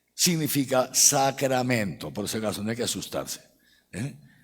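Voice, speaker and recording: A man talks in a medium pitch, keeping a moderate pace. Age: 60s. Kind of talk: catechetical lecture to a live audience. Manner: conversational, frequent tag questions like ¿eh? ¿no?.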